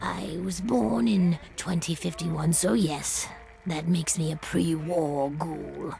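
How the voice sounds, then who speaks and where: Over clear music in the background, a female-sounding put-on character voice speaks at a very deep, low pitch and a fairly slow pace. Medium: video game.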